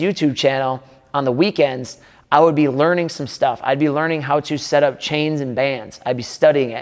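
At a fairly quick pace, a man talks in a plain, everyday voice with a fairly high pitch and fairly even intonation. The recording is very clean against a silent background. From Wisconsin, Milwaukee. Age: 30s. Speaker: strength coach and gym owner. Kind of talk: casual talking-head video monologue. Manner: casual, conversational.

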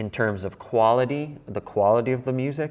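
Against a quiet background, an unremarkable speaking voice moves at a fairly slow pace with ordinary pitch variation. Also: man. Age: 30s. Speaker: church leader. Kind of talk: casual chat.

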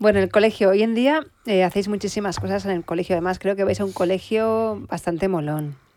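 On a very clean recording with a silent background, a woman talks fairly quickly at a medium pitch in a dark, mellow tone. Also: ordinary pitch variation, hardly any pauses. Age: 40s. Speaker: podcast host. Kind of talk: casual interview.

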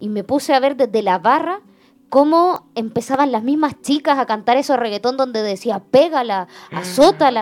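The intonation is lively. The pace is moderate. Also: woman. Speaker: church member. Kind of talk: testimony.

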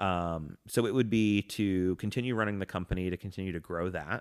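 In a very clean, dry, close recording with no echo and a silent background, a man speaks at a moderate pace in a very deep, low voice with ordinary pitch variation. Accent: American. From Atlanta, Georgia, US. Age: 30s. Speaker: nomad living in an RV. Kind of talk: casual chat.

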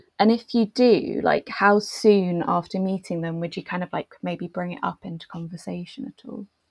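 A plain, everyday voice speaks with hardly any pauses and ordinary pitch variation. The loudness swings a lot, and the sound is dry and close with no echo. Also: woman, medium pitch for a woman, moderate pace. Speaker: podcast host. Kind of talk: casual interview chat.

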